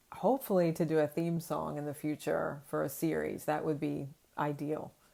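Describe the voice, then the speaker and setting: Her voice is pitched very deep and low for a woman. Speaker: children's book creator and illustrator. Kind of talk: casual interview. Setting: video call. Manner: monotone.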